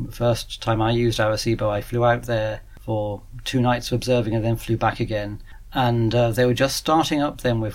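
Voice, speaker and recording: A man with a British accent, medium in pitch, fairly quick, with monotone, flat intonation. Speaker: radio astronomer at an observatory. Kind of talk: interview.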